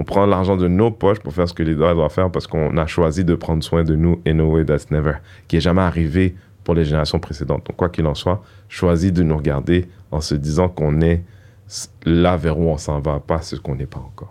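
Dark and mellow in tone, a man talks at a fairly quick pace with a very deep, low pitch and fairly even intonation. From Montreal, Quebec (Haitian parents). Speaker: comedian and activist. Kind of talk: casual interview chat.

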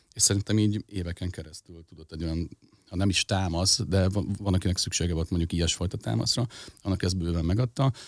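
In a very clean recording with a silent background, a man with a very deep, low pitch talks at a very fast pace, the sound dry and close with no echo. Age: 40s. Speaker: rock band frontman. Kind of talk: casual chat.

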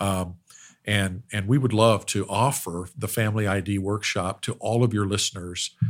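In a very clean recording with a silent background, a man with a normal speaking voice and an American accent speaks at a moderate pace with a fairly low pitch and fairly even intonation. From Oklahoma. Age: 60s. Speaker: business owner, family workshop founder. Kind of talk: interview conversation.

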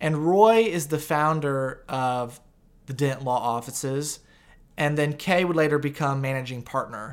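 A man with an American accent and an ordinary speaking voice, fairly high pitch, ordinary pitch variation and a fairly slow pace, on a very clean recording with a silent background. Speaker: podcast host. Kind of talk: interview.

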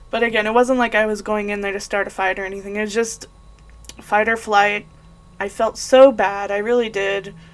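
A woman's medium-pitched, monotone, flat voice at a fairly quick pace, with noticeable background noise. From New Mexico, Las Cruces. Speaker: podcast host. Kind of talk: casual monologue.

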